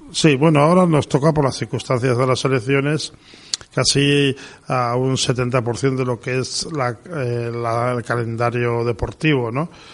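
Medium pitch from a man at a fairly slow pace, with noticeable background noise. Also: fairly even intonation. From Pamplona, Navarre, Spain. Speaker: sports federation president. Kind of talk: radio interview. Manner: halting, many fillers.

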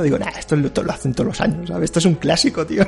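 With a Spanish accent, a man talks at a very fast pace and a fairly high pitch. Noticeable background noise is present. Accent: Peninsular Spanish. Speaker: video game podcast host. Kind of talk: casual chat.

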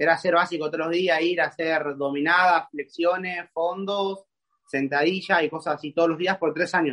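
In an Argentine accent, the voice sounds bright and sharp, with monotone, flat intonation. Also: man, high pitch for a man, moderate pace. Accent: Rioplatense Argentine Spanish. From Argentina, Buenos Aires conurbano. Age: 20s. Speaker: calisthenics athlete. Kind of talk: casual interview chat. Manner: halting, repeats words.

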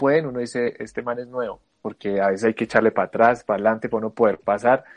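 Music plays in the background while a man speaks with ordinary pitch variation. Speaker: university student podcast co-host. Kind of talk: casual chat.

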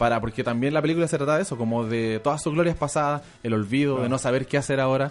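This man talks at a very fast pace. His pitch is medium with ordinary variation. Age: 20s. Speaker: film fan guest. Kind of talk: casual chat.

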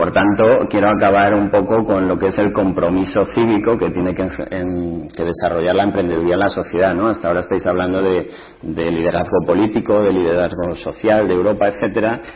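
Over noticeable background noise, a man talks in a very deep, low pitch with a monotone, flat intonation. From Spain, Ciudad Real. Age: 30s. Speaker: entrepreneur. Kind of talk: panel talk.

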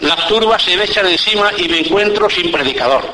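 In an Andalusian accent, a man speaks in a solemn tone at a moderate pace over noticeable background noise. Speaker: Holy Week orator (pregonero). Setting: public event with audience, radio-recorded. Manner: solemn, measured and ceremonious, rhetorical; storytelling tone in anecdotes.

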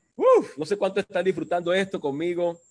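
A man's voice at a very slow pace. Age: 30s. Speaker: livestream host. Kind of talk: casual interview. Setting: video call.

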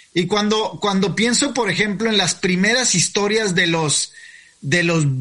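The voice is raised and projected, moving at a fairly slow pace. Pitch varies in an ordinary way over noticeable background noise. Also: man. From Mexico. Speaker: podcast host. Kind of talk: interview. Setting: video call.

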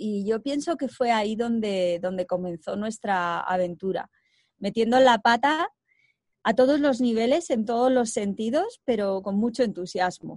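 A woman's plain, everyday voice, fairly high in pitch with lively intonation and a fairly slow pace, in a dry, close sound with no echo and a quiet background. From Spain, Segovia. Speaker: co-founder of a reforestation project. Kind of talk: interview.

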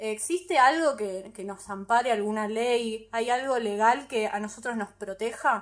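A woman speaks at a fairly slow pace with a fairly high pitch and an animated tone. Her pitch varies in an ordinary way, and she hardly pauses at all. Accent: Rioplatense. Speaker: podcast host. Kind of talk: casual chat.

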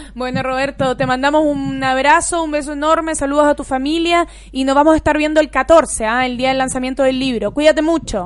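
A woman's high-pitched voice with fairly even intonation, over noticeable background noise. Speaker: sports radio host. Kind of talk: casual chat.

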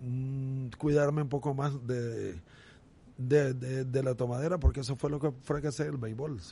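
With a dark, mellow tone that is somewhat breathy, a man of medium pitch speaks at a moderate pace with fairly even intonation. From Nicaragua, Estelí. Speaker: former baseball pitcher. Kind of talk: casual interview.

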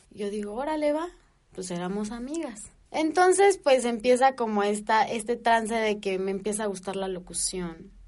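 A woman speaks in a Mexican accent at a fairly high pitch. Her intonation is lively and her pace moderate. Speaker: podcast co-host. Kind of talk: casual chat.

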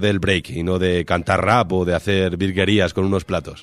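With a very deep, low pitch, a man speaks at a moderate pace and with fairly even intonation. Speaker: radio host. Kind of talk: interview. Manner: halting.

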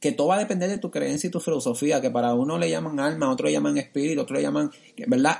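His pitch jumps across a very wide range. The man rushes along at a very fast pace. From Villalba, Puerto Rico. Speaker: podcast co-host. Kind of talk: casual chat.

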